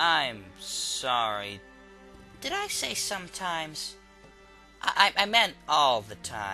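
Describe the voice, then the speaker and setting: In a put-on character voice, a man with a fairly high pitch speaks at a very slow pace with long, frequent pauses, very wide pitch swings, and big swings in loudness, as clear music plays in the background. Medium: machinima. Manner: irritable, exasperated.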